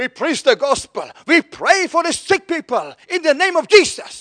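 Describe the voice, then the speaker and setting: In a dry, close sound with no echo, a man with an extremely high pitch speaks at a fairly slow pace, his voice raised and projected with a bright, sharp tone. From Norway. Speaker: preacher. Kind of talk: sermon. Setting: church.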